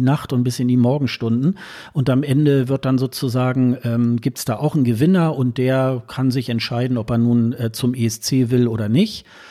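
In a very clean recording with a silent background, a man speaks at a moderate pace. His medium-pitched voice has a dark, mellow tone and fairly even intonation. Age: 40s. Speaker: Eurovision enthusiast, social media commentator. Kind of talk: casual chat.

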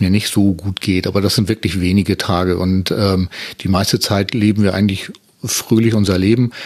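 This man has an ordinary speaking voice with a fairly low pitch and talks at a moderate pace. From northern Germany, Hamburg area. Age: 50s. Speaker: podcaster, wheelchair user. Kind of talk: casual chat.

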